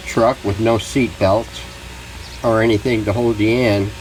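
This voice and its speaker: At a fairly slow pace, a man with a medium pitch speaks over noticeable background noise. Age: 70s. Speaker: hobbyist radio restorer. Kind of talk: tutorial. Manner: casual, halting with many fillers.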